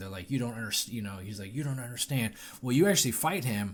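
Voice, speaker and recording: A man talks at a very fast pace with lively intonation and a somewhat breathy sound. The recording is very clean, with a silent background. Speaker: gaming podcast co-host. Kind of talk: casual chat. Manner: halting.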